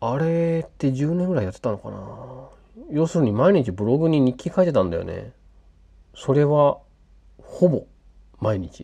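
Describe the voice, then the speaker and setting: A man's somewhat breathy, relaxed voice with a dark, mellow tone, fairly high pitch and lively intonation, at a moderate pace with long, frequent pauses and big swings in loudness. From western Japan (Hyogo, later Fukuoka). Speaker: podcaster and hobby app developer. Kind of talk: casual late-night solo monologue. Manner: halting, many fillers and self-corrections; relaxed, laughing often.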